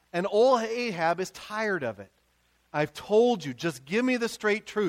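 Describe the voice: Ordinary pitch variation throughout some plain reading aloud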